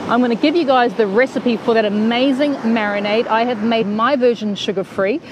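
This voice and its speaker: A woman's voice comes through noticeable background noise with a dry sound and no echo. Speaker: cooking show host. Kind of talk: casual live stream chat. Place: beach. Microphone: earbuds.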